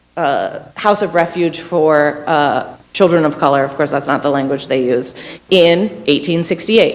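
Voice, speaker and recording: Noticeable background noise sits behind a woman's voice. She speaks at a moderate pace with a very deep, low pitch. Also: ordinary pitch variation. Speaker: public defender, panelist. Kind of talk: panel talk. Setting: university panel with audience.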